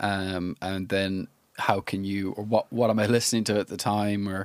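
Using monotone, flat intonation, a man with an Irish accent speaks at a fairly low pitch and moderate pace, with a dry, close sound and no echo. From Ireland. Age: 30s. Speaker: musician and music producer. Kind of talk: casual chat. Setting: studio.

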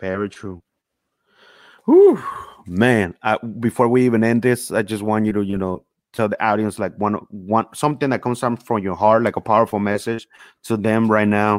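A man in a plain, everyday voice, fairly low in pitch, at a moderate pace with fairly even intonation, in a very clean recording with a silent background and a dry, close sound with no echo. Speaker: podcast host. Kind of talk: casual interview chat.

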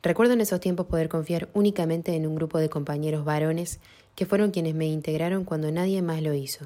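At a very fast pace, a woman talks with a fairly low pitch and fairly even intonation. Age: 20s. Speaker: bullying survivor. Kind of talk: testimony.

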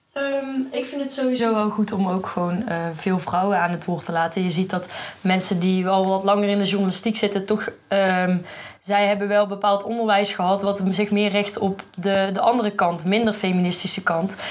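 A woman talks at a moderate pace with fairly even intonation. She has an unremarkable speaking voice. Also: medium pitch for a woman. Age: 20s. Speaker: journalism student. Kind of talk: casual chat. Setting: festival podcast recording.

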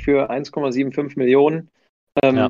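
Using monotone, flat intonation, a man speaks with a fairly high pitch. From Bielefeld, Germany. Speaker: football fan, community member. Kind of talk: casual chat.

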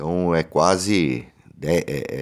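Here is a man with a very deep, low pitch. Vocal fry runs through his speech. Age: 40s. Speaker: union activist and vice-mayor candidate. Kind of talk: interview. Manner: halting, many fillers and repetitions.

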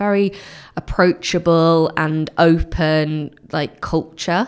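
A woman speaks with a fairly low pitch, an unremarkable speaking voice, and ordinary pitch variation. The recording is very clean, with a silent background. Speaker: growth manager at web agency. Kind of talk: casual interview chat.

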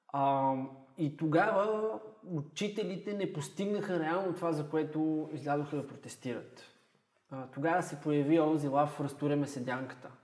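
A man with a fairly high pitch speaks at a moderate pace, and audible room echo surrounds his voice. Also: ordinary pitch variation. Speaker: history teacher. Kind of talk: casual chat.

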